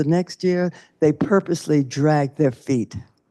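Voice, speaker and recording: In an American accent, a dark, mellow tone moves at a moderate pace with ordinary pitch variation against a quiet background. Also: woman. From US South. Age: 80s+. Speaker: civil rights activist. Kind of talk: panel discussion.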